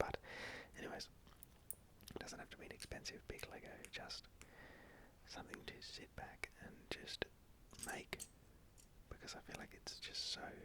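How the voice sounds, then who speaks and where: A man is whispering in a relaxed tone at a moderate pace. Long, frequent pauses break up his speech. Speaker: ASMR creator. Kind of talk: ASMR whisper video while building Lego. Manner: whispered, relaxed, casual.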